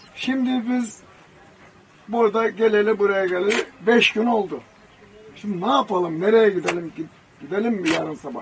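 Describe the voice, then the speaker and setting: A man speaks in a high voice at a moderate pace, with ordinary pitch variation. Long pauses come often, and background noise is noticeable. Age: 70s. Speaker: retired mechanic and motorhome traveller. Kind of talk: interview answer.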